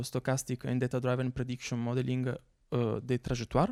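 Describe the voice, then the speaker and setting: A man with an Italian accent speaks at a moderate pace in a medium pitch with a dark, mellow tone, in a dry, close sound with no echo on a very clean recording with a silent background. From Italy. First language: Italian (speaking French). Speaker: researcher. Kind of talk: conference talk. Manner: hesitant, many fillers.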